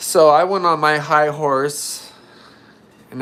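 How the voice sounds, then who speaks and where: With an American accent, a man speaks at a very slow pace in a fairly high voice with ordinary pitch variation. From California. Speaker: guitar builder and YouTuber. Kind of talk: casual chat.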